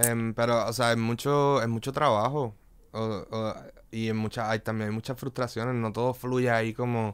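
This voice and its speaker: In a Puerto Rican accent, a man talks at a moderate pace with monotone, flat intonation. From Puerto Rico, Río Piedras; Puerto Rico. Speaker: visual artist and DJ; DJ. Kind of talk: casual interview chat. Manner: halting, many fillers. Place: studio. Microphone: studio mic.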